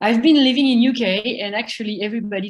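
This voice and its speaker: With a French accent, a woman talks. Her pace is fairly quick. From France, countryside. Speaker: festival organiser. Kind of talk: presentation.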